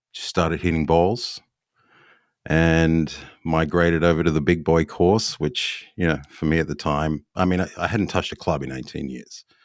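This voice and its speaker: On a very clean recording with a silent background, a man with an Australian accent speaks at a moderate pace with a very deep, low pitch and fairly even intonation. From Australia, Adelaide. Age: 50s. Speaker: golf club builder. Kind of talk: podcast interview.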